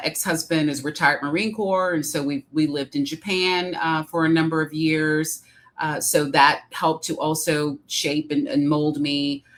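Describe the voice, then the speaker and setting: A woman with a Midwestern accent, her pitch very deep and low, at a moderate pace. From Detroit, Michigan, US Midwest. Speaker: executive coach and author. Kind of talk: interview. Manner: hesitant, many fillers.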